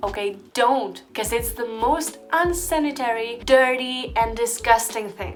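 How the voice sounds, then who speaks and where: Music plays in the background as a woman speaks with an animated tone at a fairly slow pace, with hardly any pauses. Her voice is high-pitched with ordinary pitch variation, and audible room echo is present. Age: 20s. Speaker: YouTuber. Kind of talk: storytime vlog.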